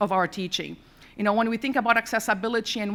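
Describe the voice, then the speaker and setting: A woman speaks very fast in a non-native accent. Her fairly high voice stays flat and monotone. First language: not English. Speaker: university accessibility administrator on a conference panel. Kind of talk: panel presentation.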